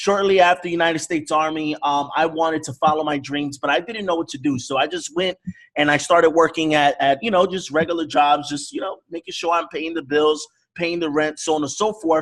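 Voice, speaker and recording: Using a normal speaking voice, a man with an American accent speaks at a fairly high pitch and fairly quick pace with fairly even intonation. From New York (the Bronx), US. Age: 30s. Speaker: forex network marketer. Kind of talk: online sales presentation.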